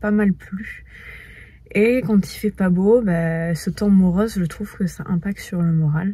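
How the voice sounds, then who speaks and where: The speech moves at a very slow pace with ordinary pitch variation, the sound dry with no echo over a quiet background. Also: woman. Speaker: lifestyle vlogger. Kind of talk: casual vlog chat. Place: car. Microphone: phone near.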